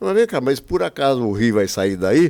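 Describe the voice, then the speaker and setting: A man talks at a moderate pace and medium pitch, with very wide pitch swings. The recording is very clean, with a silent background. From Brazil, Espírito Santo. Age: 70s. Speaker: former politician and businessman. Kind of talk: interview. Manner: animated; halting.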